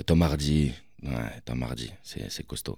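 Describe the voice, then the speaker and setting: A man's very deep, low voice carries vocal fry and a dark, mellow tone, with ordinary pitch variation. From Paris, Belleville. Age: 30s. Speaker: film director. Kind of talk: interview. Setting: studio.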